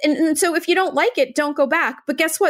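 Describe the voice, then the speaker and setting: This woman talks with an American accent. The very clean recording has a silent background. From Maine, US. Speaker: podcast host, interior designer. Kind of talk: scripted outro; casual interview chat.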